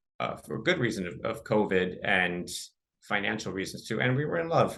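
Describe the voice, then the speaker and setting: A man with a Californian accent, fairly low-pitched, with a bright, sharp tone, very wide pitch swings, a fairly quick pace and audible room echo. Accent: General American, Californian. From Southern California, Los Angeles suburb. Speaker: podcast guest, author. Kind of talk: interview testimony.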